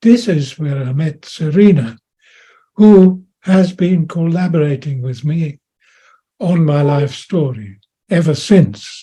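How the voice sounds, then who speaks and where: A man speaks at a very slow pace with a dark, mellow tone. His pitch is fairly high and his intonation lively. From Austria and Germany. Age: 90s. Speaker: World War Two veteran. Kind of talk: personal testimony.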